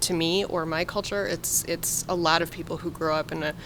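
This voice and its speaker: Over noticeable background noise, a woman speaks in a fairly low pitch with fairly even intonation. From US, partly raised in Puerto Rico ages 8-17. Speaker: podcast host. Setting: video podcast.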